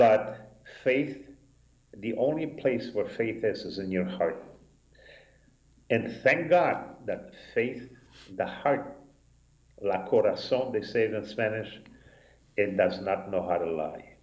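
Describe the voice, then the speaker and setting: Somewhat breathy and at a very slow pace, a man speaks with ordinary pitch variation, long, frequent pauses, and audible room echo. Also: medium pitch for a man. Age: 70s. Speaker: rabbi. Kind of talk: casual chat. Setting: synagogue live broadcast.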